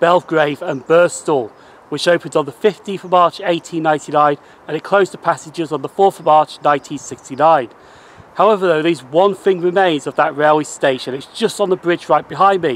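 Recorded with a dry sound and no echo, a man speaks at a moderate pace with ordinary pitch variation. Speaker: railway travel vlogger. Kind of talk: casual vlog chat. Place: station. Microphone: phone near.

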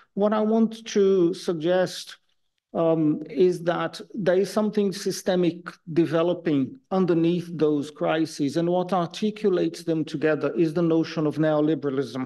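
A woman talks at a moderate pace in a fairly low voice with ordinary pitch variation. Her tone is dark and mellow, and her loudness stays very even. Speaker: keynote lecturer. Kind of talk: lecture. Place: hall.

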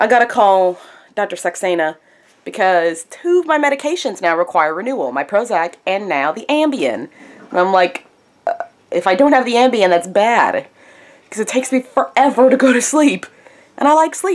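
A woman with a medium pitch moves through big pitch swings at a moderate pace.

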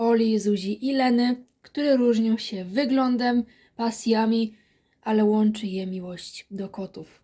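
Her voice is fairly high in pitch with a dark, mellow tone, and this woman keeps a fairly even intonation. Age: 20s. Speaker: book reviewer. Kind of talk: book review vlog.

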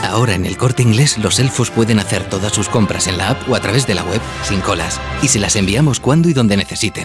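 A fairly low-pitched man with lively intonation, dry sound with no echo, and clear music in the background. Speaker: voice actor. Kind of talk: commercial read. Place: booth. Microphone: studio mic.

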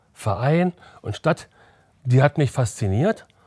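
The voice has a dark, mellow tone and is somewhat breathy. The recording is very clean, with a silent background. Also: man, dry, close sound with no echo. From Berlin. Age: 60s. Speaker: former football goalkeeper. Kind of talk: interview.

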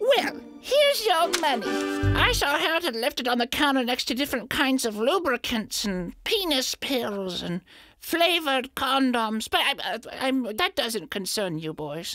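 Over music playing in the background, the voice moves at a fairly slow pace with very wide swings in pitch. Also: woman, high pitch for a woman. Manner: gentle, sweet, doting.

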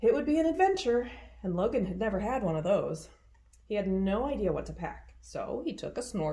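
Reading aloud, plain and simple

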